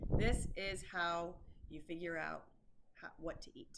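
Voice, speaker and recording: A woman speaks with an American accent in an animated tone. Her intonation is lively, and the room echo is audible. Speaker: fitness coach. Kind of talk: tutorial. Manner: casual, animated.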